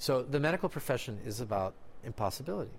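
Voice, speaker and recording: The recording is very clean, with a silent background. A man in a Spanish accent speaks at a medium pitch with lively intonation. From Mexico. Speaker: doctor and magician. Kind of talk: interview.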